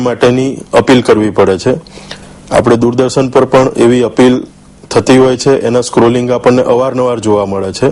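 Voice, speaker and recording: A man speaks at a medium pitch. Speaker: blood donor and Red Cross volunteer. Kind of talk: TV interview answer.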